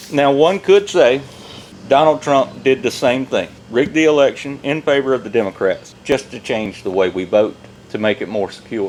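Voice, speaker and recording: Over noticeable background noise, a man talks at a moderate pace with a fairly high pitch and lively intonation. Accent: Southern US. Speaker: podcast co-host. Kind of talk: casual chat.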